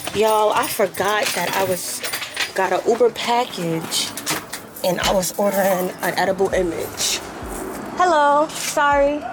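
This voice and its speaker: Over noticeable background noise, a woman talks at a medium pitch with lively intonation. She speaks fairly slowly, with long, frequent pauses. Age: 20s. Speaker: baker and small business owner. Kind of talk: vlog narration. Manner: casual, self-correcting.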